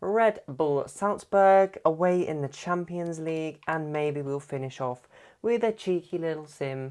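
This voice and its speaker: Over a quiet background, a man with a British accent talks at a fairly high pitch with ordinary pitch variation. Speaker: gaming YouTuber. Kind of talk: gameplay commentary. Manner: quieter than usual; animated.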